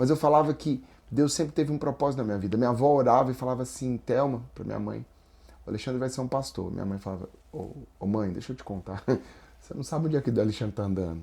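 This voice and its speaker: With a Brasília accent, a man speaks very fast in a medium pitch, his dark, mellow tone showing ordinary pitch variation. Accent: Brasília accent (Brazilian Portuguese). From Brazil, Brasília. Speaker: spiritual and business counselor, guest. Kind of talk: faith testimony in podcast interview.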